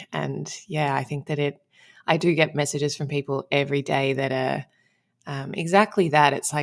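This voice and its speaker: In an Australian accent, a woman speaks at a moderate pace with a very deep, low pitch, fairly even intonation and vocal fry. The recording is very clean, with a silent background. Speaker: relationship coach. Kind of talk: podcast interview.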